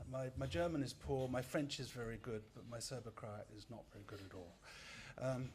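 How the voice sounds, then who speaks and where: A man's somewhat breathy voice at a medium pitch and fairly quick pace, with ordinary pitch variation, big swings in loudness and audible room echo. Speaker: media scholar, lecturer. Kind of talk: lecture. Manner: fast.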